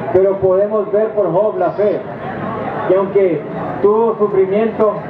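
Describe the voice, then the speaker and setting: Noticeable background noise sits behind this recording. A man speaks in a high voice at a very slow pace. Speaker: preacher. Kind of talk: sermon to inmates, preaching from the Bible.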